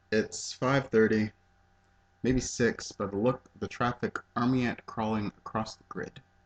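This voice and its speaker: A man speaks at a fairly slow pace with long, frequent pauses and big swings in loudness. The sound is dry and close with no echo, with noticeable background noise. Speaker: poet. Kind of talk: poetry reading.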